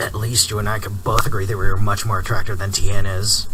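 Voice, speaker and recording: A man puts on a character voice at a fairly low pitch, talking at a fairly quick pace over clear background noise. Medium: audio drama. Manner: teasing, combative.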